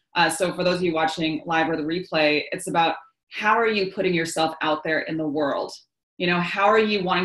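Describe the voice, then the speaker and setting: The background is quiet, and audible room echo surrounds the voice. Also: woman. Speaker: coach hosting a live session. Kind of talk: live webinar talk. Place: home room. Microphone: video call.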